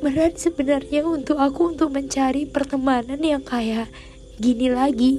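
Noticeable background noise accompanies the recording. A woman with a high pitch speaks at a moderate pace. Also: very even loudness. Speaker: podcaster. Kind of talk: personal monologue. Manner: animated.

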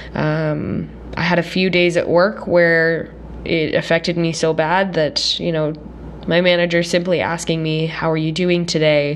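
Her speech comes at a fairly slow pace, fairly low in pitch and in a monotone, flat intonation. Around the woman's voice there is audible room echo and noticeable background noise. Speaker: podcast host. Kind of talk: casual solo podcast monologue. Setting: recording at parents' home.

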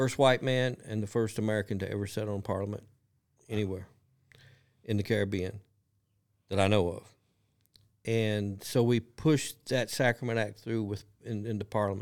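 Long, frequent pauses break up the speech of a man with a Kentucky accent, whose fairly low voice keeps a fairly even intonation. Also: very clean recording, silent background. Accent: Kentucky Southern drawl. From rural Kentucky, Lee County. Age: 60s. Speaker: cannabis business owner, former bronco rider. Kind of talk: casual interview storytelling.

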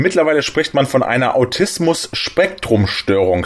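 The pace sits at a moderate level. Intonation rises and falls in a lively way. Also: man.

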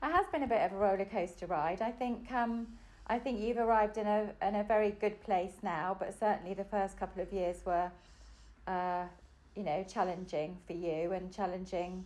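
A woman speaks with an English accent at a medium pitch. Her pace is moderate and her intonation fairly even. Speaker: mother of host. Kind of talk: casual chat.

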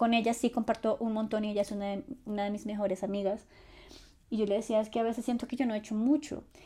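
A woman's fairly high, somewhat breathy voice with a dark, mellow tone, very fast pace and fairly even intonation, on a very clean recording with a silent background. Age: 20s. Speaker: podcast host and content creator. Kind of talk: solo personal storytelling podcast.

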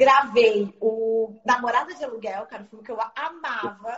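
A woman speaks with a Rio de Janeiro accent. Her pitch is fairly high. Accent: Carioca Brazilian Portuguese. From Rio de Janeiro, Zona Norte. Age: 40s. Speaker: film distributor. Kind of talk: casual interview.

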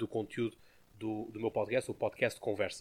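A man speaks at a moderate pace. He has a European Portuguese accent. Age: 20s. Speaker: podcast host. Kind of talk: casual chat.

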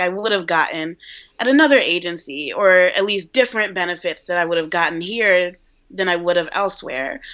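A woman with an American accent speaks at a fairly quick pace in a medium pitch, a plain, everyday voice. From New York. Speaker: junior copywriter. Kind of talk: casual interview. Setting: video call.

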